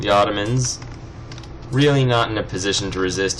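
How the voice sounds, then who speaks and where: Speaking with an American accent and lively intonation, a man moves at a moderate pace through audible room echo and noticeable background noise. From California. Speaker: let's play gamer. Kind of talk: gameplay commentary. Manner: casual, rambling with fillers.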